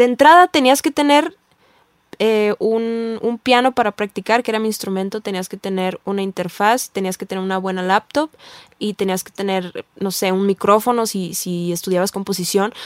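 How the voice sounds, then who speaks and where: A woman with an unremarkable speaking voice talks at medium pitch and a moderate pace, with ordinary pitch variation, big swings in loudness and a dry, close sound with no echo. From Tijuana, northern Mexico. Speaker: singer-songwriter. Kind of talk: casual interview.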